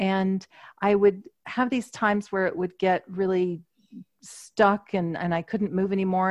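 A woman's monotone, flat delivery at a medium pitch against a quiet background. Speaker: energy healer and channel. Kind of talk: casual interview chat.

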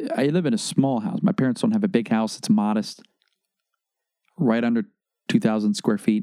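Quiet and dark, mellow in tone, the voice moves at a moderate pace with very wide pitch swings in a dry, close sound with no echo. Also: man. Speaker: podcast host. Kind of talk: casual monologue. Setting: home bedroom recording. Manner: low volume, quiet; casual, halting with false starts.

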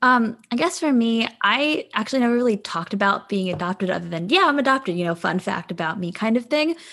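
The speaker has an American accent and a very fast pace. The pitch swings very widely. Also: woman, fairly high pitch for a woman. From US, suburbs of Philadelphia. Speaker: podcast co-host, adoptee. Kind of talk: casual chat.

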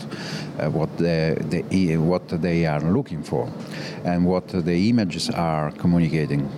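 A man with an Italian accent speaks at a fairly slow pace in a very deep, low pitch, with noticeable background noise behind him. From Italy. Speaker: photographer. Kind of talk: interview. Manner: halting.

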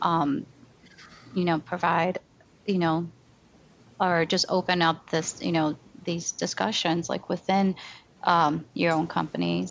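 Speaking at a fairly slow pace with long, frequent pauses, a woman uses a fairly low pitch, very even loudness and fairly even intonation. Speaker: podcast host. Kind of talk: podcast intro and moderating.

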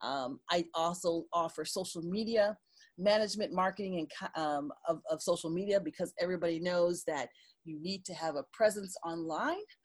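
On a very clean recording with a silent background, a woman with an ordinary speaking voice talks at a moderate pace, her pitch fairly low and her pitch variation ordinary. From Detroit, Michigan. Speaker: digital marketing consultant. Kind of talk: interview.

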